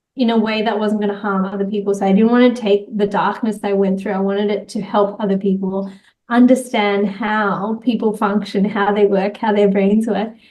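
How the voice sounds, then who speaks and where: In an Australian accent, a woman talks at a moderate pace with hardly any pauses. Her pitch is medium and her intonation monotone and flat. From Australia, Sydney. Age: 30s. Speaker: entrepreneur and social media creator. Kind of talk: interview conversation.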